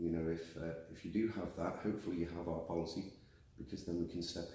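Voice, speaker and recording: Talking at a very fast pace, a man with a very deep, low pitch has a dark, mellow tone that is somewhat breathy, with audible room echo around him. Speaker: warranty company general manager. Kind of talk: interview.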